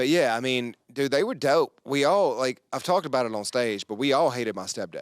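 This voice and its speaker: Speaking with a North Carolina accent, a man talks at a fairly quick pace with hardly any pauses and lively intonation, in a dry, close sound with no echo. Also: medium pitch for a man. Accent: Southern US (North Carolina). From rural North Carolina (Yanceyville). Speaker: comedian. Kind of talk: casual podcast chat. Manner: animated.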